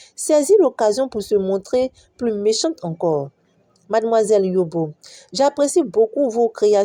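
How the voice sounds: Lively intonation colors a natural reading voice against a quiet background.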